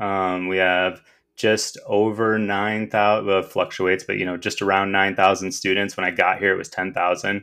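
Someone with an American accent speaks at a moderate pace in a monotone, flat intonation. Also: man, fairly low pitch for a man. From Michigan. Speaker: school district technology director. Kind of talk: interview.

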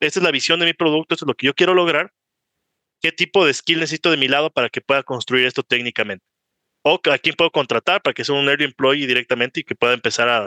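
A man's fairly high, bright, sharp voice at a very fast pace, with ordinary pitch variation and a dry, close sound with no echo. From Ecuador. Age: 20s. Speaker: startup founder and CEO. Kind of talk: casual interview conversation.

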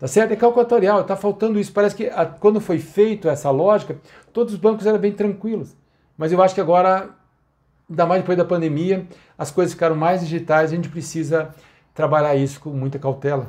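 Against a quiet background, a man speaks at a fairly quick pace. His high pitch shows ordinary variation. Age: 60s. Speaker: financial consultant. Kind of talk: solo commentary podcast.

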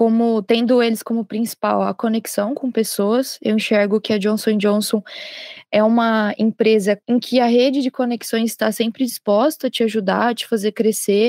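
The recording is very clean, with a silent background and a dry, close sound with no echo. A fairly high-pitched woman speaks in a monotone with flat intonation. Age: 20s. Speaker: junior chemical engineer. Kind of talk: corporate podcast interview.

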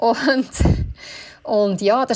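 Noticeable background noise runs beneath this woman's speech. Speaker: bridal shop owner. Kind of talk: casual chat.

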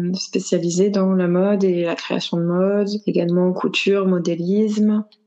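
A woman's medium-pitched, flat, monotone delivery at a fairly slow pace, with noticeable background noise. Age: 30s. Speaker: stay-at-home mother and fashion content creator. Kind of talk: interview testimony.

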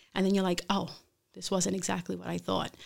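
A woman's medium-pitched voice with an American accent, on a very clean recording with a silent background. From Brooklyn, New York. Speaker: chef. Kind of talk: interview. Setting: studio.

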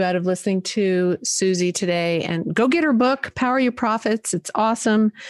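A woman speaks in an unremarkable speaking voice at a medium pitch and a moderate pace. Her pitch variation is ordinary, and the sound is dry and close with no echo. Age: 60s. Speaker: podcast host. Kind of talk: interview conversation.

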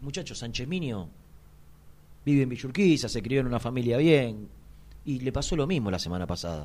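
A man with a Rioplatense accent talks at a fairly quick pace and medium pitch, in an animated tone with very wide pitch swings. Long, frequent pauses break his speech, and the room echo is audible. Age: 40s. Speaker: sports radio host. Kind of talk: casual chat.

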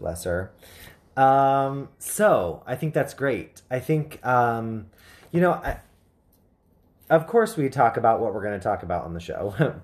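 A man speaks at a fairly slow pace with very wide pitch swings and long, frequent pauses. The recording is very clean, with a silent background. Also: medium pitch for a man. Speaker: psychic medium and rune reader. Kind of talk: casual chat.

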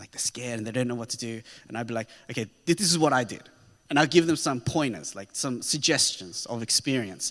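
An Australian-accented man speaks at a very fast pace and medium pitch, with lively intonation and big swings in loudness. The recording is very clean, with a silent background. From Australia (Sydney), child of immigrants. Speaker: pastor. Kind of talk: sermon. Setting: church.

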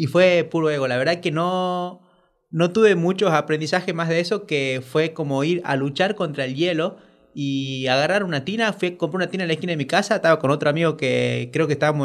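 The speech comes very fast on a very clean recording with a silent background. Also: man. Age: 40s. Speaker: coach and ice therapy facilitator. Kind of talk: casual interview. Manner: halting.

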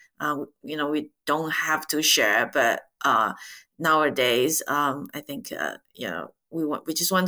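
A woman with a Chinese accent, a very deep, low pitch and a bright, sharp tone at a fairly slow pace, on a very clean recording with a silent background. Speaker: podcast host and ETF director. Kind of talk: interview.

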